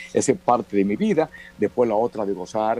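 A man speaks at a moderate pace in a dark, mellow tone. The sound is dry and close, with no echo. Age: 70s. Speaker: veteran journalist and author. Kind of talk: interview conversation.

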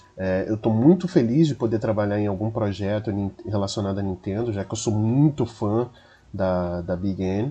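At a moderate pace, a man speaks with a fairly low pitch, a dark, mellow tone and ordinary pitch variation. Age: 30s. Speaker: podcast editor. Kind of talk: self-introduction.

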